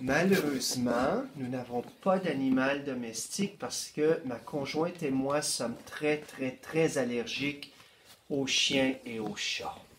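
A man talks at a very slow pace, his pitch fairly high with ordinary variation. Noticeable background noise is present. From northeastern Ontario. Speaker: school board education administrator. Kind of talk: interview.

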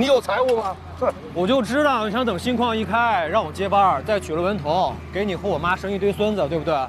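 Amid noticeable background noise, a man talks at a fairly quick pace with hardly any pauses, a high pitch, lively intonation, and a dry sound with no echo. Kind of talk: acted dialogue. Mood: teasing, defiant. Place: factory.

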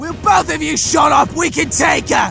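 A man's raised, shouting cartoonish character voice at an extremely high pitch, with vocal fry and clear music in the background. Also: ordinary pitch variation, moderate pace.

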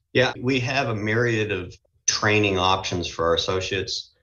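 Speaking with an American accent, a man keeps a moderate pace and fairly even intonation. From Boston, US Northeast. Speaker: retail company CEO. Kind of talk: interview.

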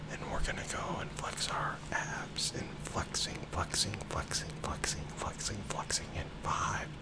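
A man at a very slow pace over loud background noise. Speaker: ASMR therapist guiding a relaxation session. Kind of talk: guided progressive muscle relaxation. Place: home room.

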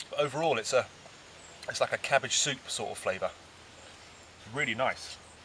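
Against faint background noise, a man talks at a moderate pace and a medium pitch. His tone is bright and sharp, with ordinary pitch variation.

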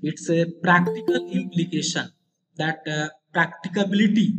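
Against light background noise, a man talks in a high pitch with fairly even intonation. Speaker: university teacher. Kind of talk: lecture. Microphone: video call.

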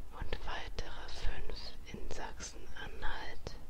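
The speaker whispers at a very slow pace. Background noise is noticeable. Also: woman. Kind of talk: ASMR fact narration. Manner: whispered.

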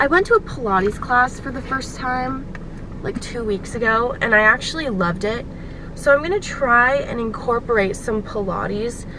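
The woman's voice is high-pitched at a moderate pace, dry with no echo, over noticeable background noise. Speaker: vlogger. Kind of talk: casual vlog chat. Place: car. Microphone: phone near.

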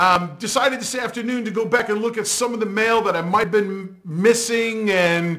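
This man speaks at a moderate pace with hardly any pauses. His pitch is high, and the background is quiet. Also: ordinary pitch variation. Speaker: pool instructor. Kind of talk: tutorial. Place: home room. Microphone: lapel.

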